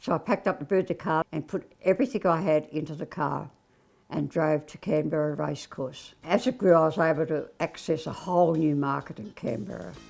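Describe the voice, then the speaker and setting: Speaking at a fairly quick pace in an Australian accent, a woman with a very deep, low pitch and vocal fry uses lively intonation and big swings in loudness, captured in a very clean recording with a silent background. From Australia, Bega NSW. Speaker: retired business founder. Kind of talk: interview testimony.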